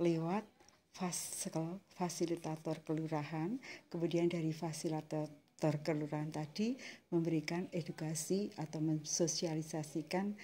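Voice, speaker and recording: Somewhat breathy and fairly slow, a woman talks in a fairly low pitch with a dark, mellow tone. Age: 60s. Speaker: community waste bank leader. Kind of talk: interview.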